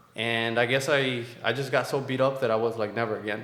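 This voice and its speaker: A man speaks with a Spanish accent. The room echo is audible. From Mexico. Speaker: military veteran and entrepreneur. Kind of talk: interview.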